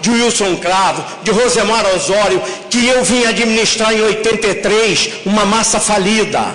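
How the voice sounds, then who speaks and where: Noticeable background noise and audible room echo surround this recording. A man with a high pitch speaks fairly slowly. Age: 60s. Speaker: bus company executive. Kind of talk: public hearing speech. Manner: animated.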